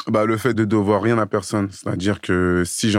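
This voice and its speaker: Recorded very cleanly against a silent background, a man speaks in a fairly low pitch with monotone, flat intonation. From Paris suburbs (Seine-Saint-Denis). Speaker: fitness coach. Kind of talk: casual interview. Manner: halting, word repetitions.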